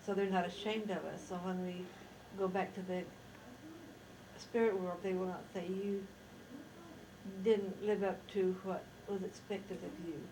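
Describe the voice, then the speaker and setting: In an American accent, a woman speaks at a fairly slow pace and medium pitch with monotone, flat intonation, audible room echo and noticeable background noise. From Idaho, US (Rexburg). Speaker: interviewee recounting life history. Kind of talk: oral history interview. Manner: halting, with self-corrections.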